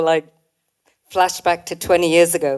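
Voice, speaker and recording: In a northern English accent, a woman speaks at a fairly low pitch. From northern England. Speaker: retreat founder and speaker. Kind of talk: event talk.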